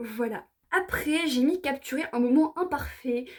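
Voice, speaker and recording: The woman's voice is high in pitch. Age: 20s. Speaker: vlogger and writer. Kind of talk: casual tutorial vlog. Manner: fast, sometimes stuttering.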